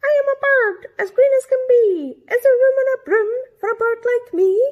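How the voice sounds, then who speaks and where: This is a put-on character voice that sounds female, pitched extremely high. It moves at a moderate pace. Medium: read story.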